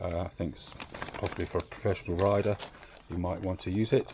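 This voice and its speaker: A man with a British accent and a very deep, low voice speaks fairly quickly with fairly even intonation. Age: 60s. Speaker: motorcycle owner reviewer. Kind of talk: product review monologue. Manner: hesitant, many fillers.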